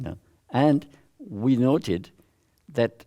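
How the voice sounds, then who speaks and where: On a very clean recording with a silent background, a man with a French accent speaks in a dark, mellow tone. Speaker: social learning theorist, visiting professor. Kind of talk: academic talk with audience Q&A. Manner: halting, with self-corrections.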